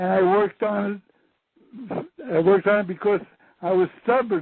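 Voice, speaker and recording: A man speaks with a high pitch. His pitch varies in an ordinary way. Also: moderate pace. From USA. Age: 70s. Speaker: former government scientist. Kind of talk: interview.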